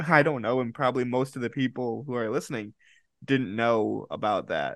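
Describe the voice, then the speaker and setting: Vocal fry colors a man's speech, and the background stays quiet. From Rochester, New York, US. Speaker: podcast host. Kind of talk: interview.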